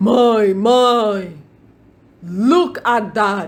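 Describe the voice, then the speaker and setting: The woman puts on a character voice pitched fairly high. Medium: read story.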